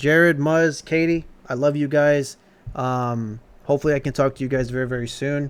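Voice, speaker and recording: With an American accent, a man speaks at a moderate pace with fairly even intonation in an unremarkable speaking voice. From Texas. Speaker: streamer. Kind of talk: casual livestream chat. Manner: casual, filler-heavy.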